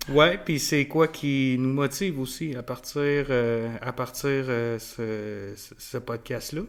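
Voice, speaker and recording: A man's very slow speech at medium pitch, with big swings in loudness. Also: ordinary pitch variation. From Quebec City. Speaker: podcast co-host, youth soccer coach. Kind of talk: casual chat. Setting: studio with mic and camera. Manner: halting, frequent repetitions.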